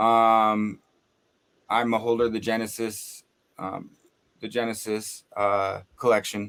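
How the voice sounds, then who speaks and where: A man's monotone, flat delivery at medium pitch, very slow, with long, frequent pauses. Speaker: podcast co-host. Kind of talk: casual chat.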